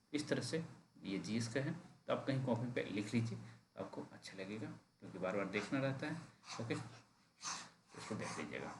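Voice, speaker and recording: Vocal fry and lively intonation come through over audible room echo. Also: man, medium pitch for a man. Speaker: exam coaching teacher. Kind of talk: online class announcement. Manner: deliberately slow.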